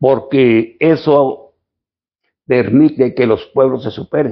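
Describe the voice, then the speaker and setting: A man with a fairly high pitch speaks very slowly. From Mexico, Chihuahua, Sierra Tarahumara. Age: 80s+. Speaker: local historian and author. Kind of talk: interview. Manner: halting.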